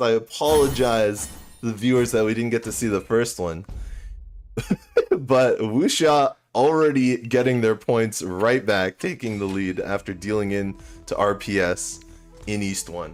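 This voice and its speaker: In an unremarkable speaking voice, a man at medium pitch talks at a fairly slow pace with lively intonation. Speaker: mahjong tournament commentator. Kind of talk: live commentary. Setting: livestream.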